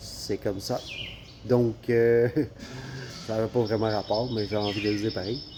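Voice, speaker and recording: Speaking with a Quebec accent over noticeable background noise, a man keeps a moderate pace and a fairly low pitch in a monotone, flat intonation. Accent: Québécois French. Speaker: travel vlogger. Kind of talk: casual vlog talk.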